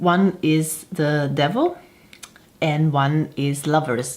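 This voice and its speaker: Speaking with a non-native accent, a woman has a very deep, low pitch. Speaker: tarot reader and harpist. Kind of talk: casual talk to camera.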